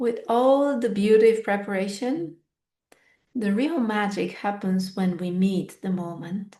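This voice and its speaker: Against a quiet background, a woman's dark, mellow voice shows ordinary pitch variation. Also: medium pitch for a woman, fairly slow pace. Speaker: podcast host and fitness teacher. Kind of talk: reflective solo podcast monologue. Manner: unscripted, thoughtful.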